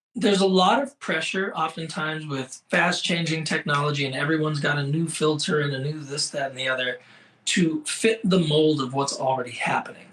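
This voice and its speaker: In an American accent, a man with a plain, everyday voice speaks at a fairly quick pace and a fairly high pitch. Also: ordinary pitch variation. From Seattle, Washington. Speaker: fashion photographer. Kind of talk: interview.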